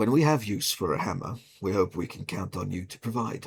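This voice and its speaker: A man's raspy, put-on character voice, fairly low in pitch, with lively intonation and a fairly quick pace. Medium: actual play. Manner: dry, measured.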